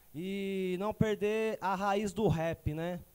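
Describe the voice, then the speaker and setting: A man's voice has a dark, mellow tone. His intonation stays flat and monotone. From Suzano, São Paulo state. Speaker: rapper. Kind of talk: interview chat. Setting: studio.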